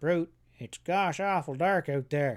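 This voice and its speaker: A man puts on a whiny character voice. He pitches it high. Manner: half whining, fearful.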